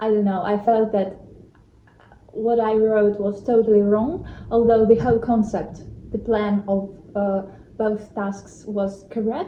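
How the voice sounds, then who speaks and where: Fairly high in pitch, a woman speaks slowly with a non-native accent. Her intonation stays fairly even, broken by long, frequent pauses. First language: not English. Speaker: vlogger. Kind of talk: vlog talk to camera. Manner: hesitant, with fillers.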